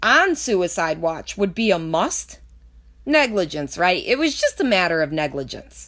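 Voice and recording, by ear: A woman speaks fairly slowly in a fairly bright tone, her pitch swinging widely.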